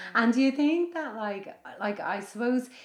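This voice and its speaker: Speaking in an Irish accent, a woman keeps a fairly slow pace with lively intonation. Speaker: podcast host and yoga teacher. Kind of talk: casual chat. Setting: guest's home.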